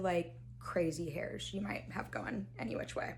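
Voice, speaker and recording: Noticeable background noise and audible room echo surround the recording. A woman talks at a fairly slow pace. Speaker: beauty YouTuber. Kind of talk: tutorial. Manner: casual, chatty.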